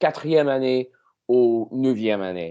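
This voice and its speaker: A man with an English accent at a medium pitch, against a quiet background. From Canada. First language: English (speaking French). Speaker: language learner. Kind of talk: casual chat. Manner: halting.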